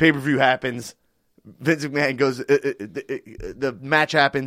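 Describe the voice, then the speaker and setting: In a New York accent, a man with a fairly high pitch speaks at a moderate pace, recorded very cleanly, dry and close with no echo against a silent background. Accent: New York (Bronx). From US, family from the Bronx but grew up elsewhere. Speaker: guest explaining pro wrestling. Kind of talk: casual chat. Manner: animated, halting with fillers.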